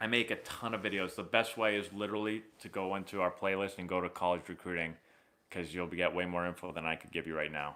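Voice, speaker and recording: A man speaks very fast at a very deep, low pitch, his tone bright and sharp. His intonation is fairly even, and the recording is very clean with a silent background. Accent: American. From Boston area, Massachusetts. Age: 30s. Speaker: former pro baseball player and baseball youtuber. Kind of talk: live stream chat answering viewer questions. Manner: casual, conversational.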